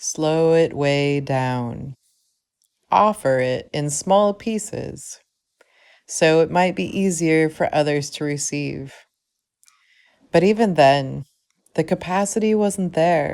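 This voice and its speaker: Very soft-spoken, a woman talks at a very slow pace with long, frequent pauses, her very deep, low pitch carrying lively intonation over a very clean recording with a silent background. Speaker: spoken word poet. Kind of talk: spoken word poetry.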